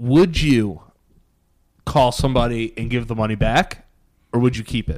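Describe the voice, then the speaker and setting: Speaking with an American accent at a moderate pace, the voice has lively intonation and long, frequent pauses. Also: man, medium pitch for a man. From US Northeast. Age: 20s. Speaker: podcast co-host. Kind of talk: casual chat.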